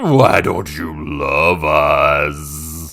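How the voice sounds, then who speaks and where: The speaker uses a put-on character voice. It comes out as a growl. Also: man. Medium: read story.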